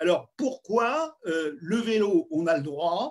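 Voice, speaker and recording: This man's voice sits at a high pitch. It moves through very wide pitch swings. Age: 70s. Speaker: scientist. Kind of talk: live video panel discussion. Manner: animated.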